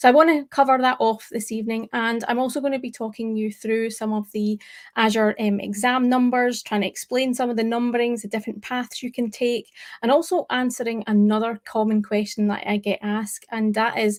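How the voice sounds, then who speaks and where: A woman speaks in a Scottish accent. Her pace is fairly quick and her intonation fairly even. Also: fairly high pitch for a woman, very clean recording, silent background. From Scotland. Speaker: tech presenter. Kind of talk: live stream talk. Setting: live stream.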